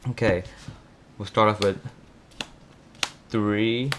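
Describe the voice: Low in pitch, a man speaks at a fairly slow pace in a fairly bright tone. His intonation stays fairly even.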